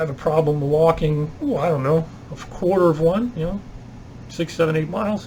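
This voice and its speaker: A man talks at a moderate pace with a fairly high pitch and ordinary pitch variation. There is noticeable background noise. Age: 60s. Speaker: retired vlogger and substitute teacher. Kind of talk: casual vlog monologue. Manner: conversational, hesitant with fillers.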